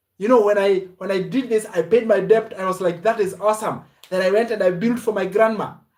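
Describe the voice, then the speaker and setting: Shouting loudly at a fairly quick pace, a man speaks in an animated tone at a high pitch. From Kenya. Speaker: online business coach. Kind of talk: live stream sales pitch. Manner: loud, shouting.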